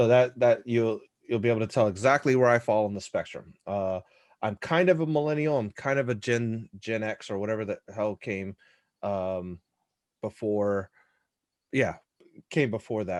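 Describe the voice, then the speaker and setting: Using a medium pitch with ordinary pitch variation, a man talks in an animated tone at a moderate pace. He leaves long, frequent pauses. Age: 30s. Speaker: pressure washing business owner and mediator. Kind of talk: moderated panel discussion on live stream. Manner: casual, animated.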